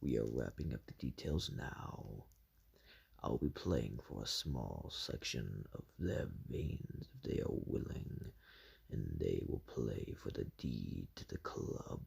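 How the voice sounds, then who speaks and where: A man's put-on character voice, very deep and low, with ordinary pitch variation at a fairly slow pace. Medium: read story. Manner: smooth, self-assured.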